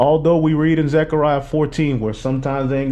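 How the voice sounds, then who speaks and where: With music in the background, a man speaks very fast with fairly even intonation. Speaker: religious teacher. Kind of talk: bible class teaching.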